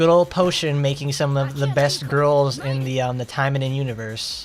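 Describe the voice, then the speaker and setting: With an American accent, a man speaks at a moderate pace in a fairly high pitch. There is noticeable background noise. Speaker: gaming streamer. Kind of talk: live gameplay commentary. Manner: animated.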